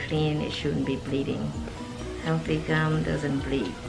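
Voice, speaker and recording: Clear music sounds in the background. Over it, a woman talks at a moderate pace. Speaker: dental hygienist. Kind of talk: explaining a dental cleaning to patient. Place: office.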